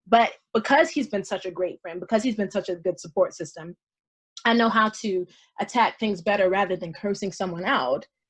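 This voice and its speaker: A somewhat breathy woman's voice at medium pitch, fairly quick in pace, against a quiet background. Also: ordinary pitch variation. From US South, Columbia, South Carolina. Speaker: actress. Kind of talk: interview conversation. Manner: articulate; upbeat.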